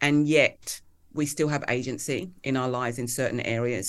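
Here is a woman with a southern English accent. Her pitch varies in an ordinary way. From England (Kent, Hertfordshire). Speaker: author and leadership coach. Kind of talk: interview conversation.

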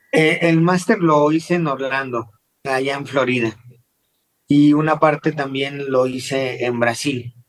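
With music playing in the background, a man talks at a fairly slow pace using fairly even intonation. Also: fairly high pitch for a man. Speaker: dental implant surgeon. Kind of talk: interview. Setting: video call.

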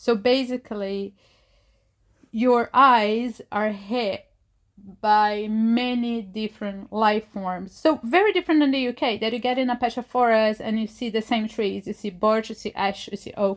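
A woman speaks with a Portuguese accent at a fairly high pitch and a fairly slow pace. Her intonation is fairly even, on a very clean recording with a silent background. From Brazil, Rio de Janeiro. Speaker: environmental scientist. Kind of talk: interview monologue.

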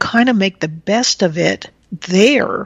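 Here is a woman with a normal speaking voice at a medium pitch. Her intonation is lively. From rural Texas, US. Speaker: engineering professor. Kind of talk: casual interview.

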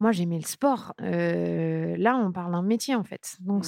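Recorded very cleanly against a silent background, a woman's voice sounds dry and close with no echo, its tone dark and mellow. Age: 30s. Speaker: sports journalist. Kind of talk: interview.

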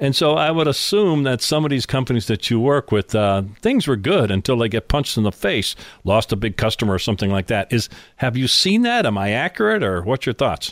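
In a very clean recording with a silent background, a man with a normal speaking voice at a medium pitch talks at a fairly quick pace, his loudness very even and the sound dry and close with no echo. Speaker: podcast host. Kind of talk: interview. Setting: studio.

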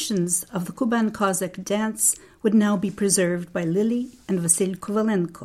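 At a moderate pace, a woman speaks in a dark, mellow tone. Her voice is somewhat breathy. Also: medium pitch for a woman, fairly even intonation, very clean recording, silent background. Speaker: documentary narrator. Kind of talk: scripted narration.

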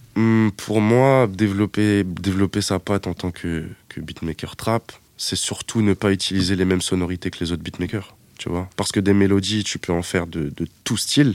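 Here a man with fairly low pitch and fairly even intonation talks at a moderate pace in an ordinary speaking voice, with a dry, close sound with no echo. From Paris suburbs, France (Seine-Saint-Denis). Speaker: music producer. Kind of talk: interview. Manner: casual, filler-heavy.

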